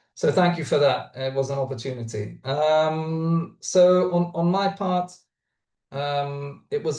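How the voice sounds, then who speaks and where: The man's voice is somewhat breathy, with a dark, mellow tone. He speaks at a moderate pace with ordinary pitch variation. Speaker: startup founder. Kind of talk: webinar talk. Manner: halting, many fillers.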